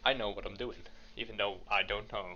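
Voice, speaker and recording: A man with a strong Dutch accent, over noticeable background noise. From Netherlands. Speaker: podcast co-host. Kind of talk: casual chat.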